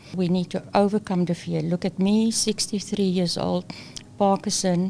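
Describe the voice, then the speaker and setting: A woman's medium-pitched, dark, mellow voice in a flat monotone at a moderate pace. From South Africa. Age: 60s. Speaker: employment consultant. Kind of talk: interview.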